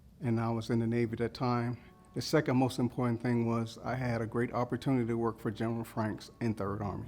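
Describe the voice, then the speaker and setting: A man at medium pitch with an American accent, very fast and monotone with flat intonation, music in the background. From Mississippi, then Philadelphia from age 14. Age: 60s. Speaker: military veteran. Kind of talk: personal testimony interview.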